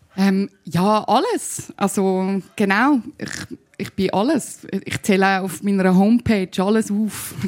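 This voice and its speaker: At a very slow pace, a woman speaks in a Zurich accent. Her pitch is medium, with ordinary pitch variation. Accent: Zurich Swiss German. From Zurich, Switzerland. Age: 30s. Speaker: musician and spoken-word artist. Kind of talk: panel talk. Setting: live audience. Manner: hesitant with fillers.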